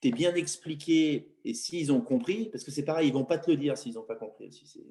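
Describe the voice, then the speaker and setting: A man talks at a moderate pace with lively intonation. His voice is fairly high in pitch, with a dark, mellow tone. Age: 30s. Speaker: football coach. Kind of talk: interview. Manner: halting, many repetitions.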